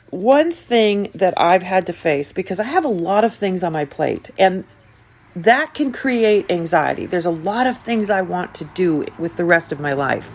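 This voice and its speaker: A woman with an unremarkable speaking voice of medium pitch talks at a fairly slow pace with lively intonation. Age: 60s. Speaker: podcast host, self-help speaker. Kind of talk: motivational podcast monologue.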